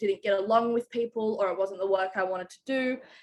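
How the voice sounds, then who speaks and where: A woman talks in an Australian accent with a bright, sharp tone. Her fairly high pitch follows fairly even intonation. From Australia, Canberra. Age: 20s. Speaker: chef. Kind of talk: interview. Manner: casual, many fillers.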